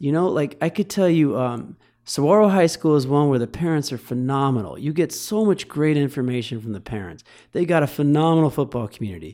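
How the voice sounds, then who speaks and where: A man with a Midwestern accent talks at a fairly quick pace in a dark, mellow tone, his intonation lively. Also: fairly high pitch for a man. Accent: General American (Midwest). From Michigan, US. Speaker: football coach. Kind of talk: casual chat.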